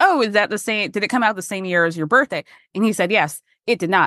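Her tone bright and sharp, a woman with an American accent speaks fairly quickly in a fairly high pitch, with a dry, close sound with no echo and a quiet background. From Georgia, US South. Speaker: podcast host. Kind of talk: casual chat.

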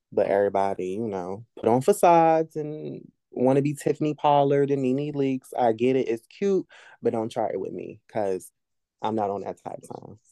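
A man's dark, mellow tone at a moderate pace, with lively intonation, big swings in loudness, and a dry, close sound with no echo. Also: medium pitch for a man. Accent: American. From Virginia (Norfolk). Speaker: rapper and poet. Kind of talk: casual interview chat.

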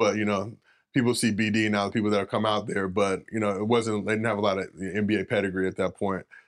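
Against a quiet background, a man with a Southern Californian accent talks very fast. His fairly low voice has monotone, flat intonation. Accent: Southern California American. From Los Angeles, US. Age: 40s. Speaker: former college basketball player and social media personality. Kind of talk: interview conversation. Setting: studio.

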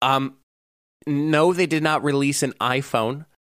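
Speaking at a moderate pace, a man with a plain, everyday voice and fairly high pitch is heard in a very clean recording, silent in the background, with a dry, close sound and no echo. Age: 20s. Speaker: podcast co-host. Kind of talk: casual chat.

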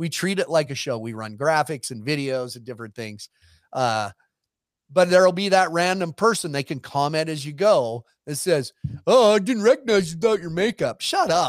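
Recorded dry and close with no echo, very clean and with a silent background, a man with a fairly high pitch makes very wide pitch swings and big swings in loudness. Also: moderate pace. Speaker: rodeo entertainer and sideline reporter. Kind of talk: casual chat. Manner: joking, witty.

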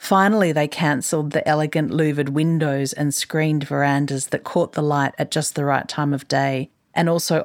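A woman speaks at a fairly quick pace with hardly any pauses, her pitch very deep and low. Her loudness is very even, her intonation fairly even, and the recording very clean with a silent background. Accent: Australian. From Queensland, Australia. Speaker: journalist and writer. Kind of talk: reading aloud own article.

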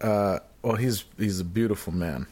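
A man speaks at a fairly low pitch in a normal speaking voice. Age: 30s. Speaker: podcast co-host. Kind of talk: casual chat.

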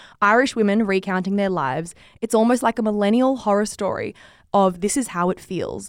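A woman's medium-pitched voice at a very fast pace, on a very clean recording with a silent background. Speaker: podcast producer and host. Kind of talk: casual book review chat. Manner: giggly.

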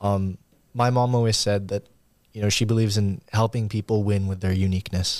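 At a fairly quick pace, a man speaks in a fairly low, monotone, flat voice on a very clean recording with a silent background. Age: 20s. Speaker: podcast guest, son of a corporate executive. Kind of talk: casual interview. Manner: articulate.

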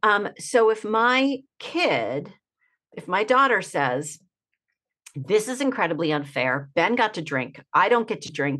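A woman's bright, sharp tone with vocal fry, very wide pitch swings, big swings in loudness and a fairly slow pace, over a quiet background. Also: medium pitch for a woman. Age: 50s. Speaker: author and speaker on parenting and addiction. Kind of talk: interview conversation.

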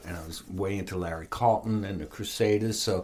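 This is a normal speaking voice at a moderate pace. The pitch variation is ordinary. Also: man. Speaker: guitarist and music producer. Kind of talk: casual interview chat.

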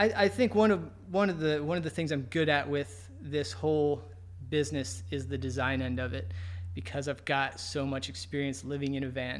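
A man speaks with very wide pitch swings. Audible room echo surrounds his voice. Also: medium pitch for a man, moderate pace. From US, Virginia (Navy family, moved around). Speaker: climber and van outfitting business owner. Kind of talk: casual interview. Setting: climbing gym / his shop.

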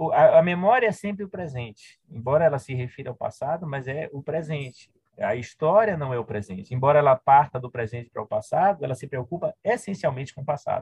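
Loudness swings a lot as a man speaks fairly quickly with lively intonation at a fairly high pitch. He has an unremarkable speaking voice. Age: 50s. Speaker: historian and university professor. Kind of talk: interview conversation.

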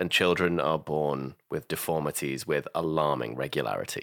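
Vocal fry runs through this man's voice. The recording is very clean, with a silent background. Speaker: podcast producer. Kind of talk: scripted introduction.

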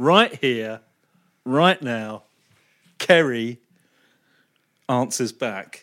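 Recorded very cleanly against a silent background, a man with a medium pitch talks at a very slow pace, with ordinary pitch variation and long, frequent pauses. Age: 50s. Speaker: football pundit. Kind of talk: casual chat.

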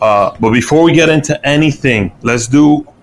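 A man talks at a moderate pace with a New York accent. His pitch is fairly high and varies in an ordinary way. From New York City, Washington Heights. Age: 30s. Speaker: podcast host. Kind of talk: casual chat.

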